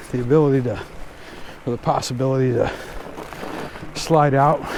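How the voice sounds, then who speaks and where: A man's medium-pitched voice at a fairly quick pace, monotone and flat, with audible room echo and noticeable background noise. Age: 60s. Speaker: fat bike vlogger. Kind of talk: casual vlog narration while riding. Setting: outdoors on snowy bike trail.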